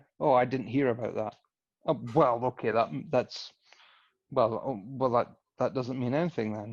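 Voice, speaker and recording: A man speaks in a Scottish accent against a quiet background. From Scotland. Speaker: boxing podcast host. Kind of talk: casual chat. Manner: animated.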